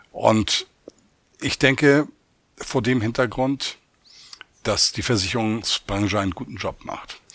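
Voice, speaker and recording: Very slow speech from a man at a medium pitch, ordinary pitch variation, with long, frequent pauses. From Hamburg, northern Germany. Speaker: chief economist. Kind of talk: interview.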